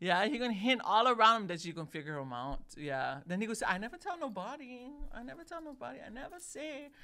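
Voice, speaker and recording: A woman with a Hawaiian accent, fairly high pitch, very wide pitch swings, an animated tone, big swings in loudness and a very fast pace. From Hawaii, Oahu (Palolo). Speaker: podcast co-host. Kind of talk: casual chat. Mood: warm, laughing. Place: studio. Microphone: studio mic.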